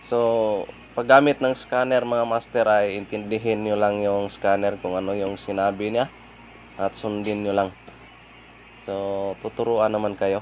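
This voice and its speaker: A man at a fairly low pitch and fairly slow pace, monotone and flat, with long, frequent pauses. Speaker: auto mechanic. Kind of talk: tutorial. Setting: outdoors.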